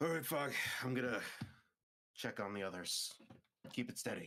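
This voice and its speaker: A man puts on a raspy character voice with a medium pitch and a weary, calm tone. His intonation is lively, and his pace is moderate. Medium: actual play.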